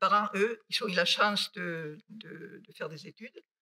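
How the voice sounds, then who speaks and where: With a Basque accent, a woman speaks at a medium pitch with ordinary pitch variation, in a dry, close sound with no echo. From Basque Country, Spain (near Bilbao). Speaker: mathematician. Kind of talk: lecture. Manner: halting.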